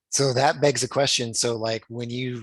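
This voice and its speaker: A man talks with fairly even intonation. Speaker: sales trainee. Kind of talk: casual chat.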